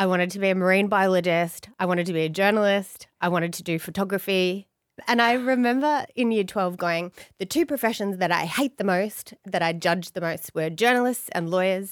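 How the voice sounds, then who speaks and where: A woman with an Australian accent, medium pitch and a bubbly tone, at a fairly quick pace, on a very clean recording with a silent background. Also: ordinary pitch variation. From Australia, Blue Mountains (NSW). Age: 40s. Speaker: family lawyer. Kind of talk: casual interview chat. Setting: studio with microphones and headphones.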